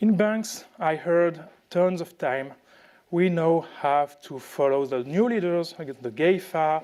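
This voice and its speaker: Speaking very slowly with a French accent, a man uses a high pitch and ordinary pitch variation. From France. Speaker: tech speaker. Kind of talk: conference talk. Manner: halting, many fillers.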